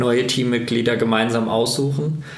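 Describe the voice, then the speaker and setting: A man speaks in a flat monotone. Noticeable background noise and audible room echo surround him. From Germany, Kassel (northern Hesse). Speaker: company founder and managing director. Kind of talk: interview.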